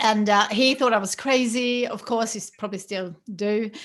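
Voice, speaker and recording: A woman with a Swedish accent speaks at a moderate pace against a quiet background. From Sweden. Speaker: business founder. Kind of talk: casual chat. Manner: halting, many fillers.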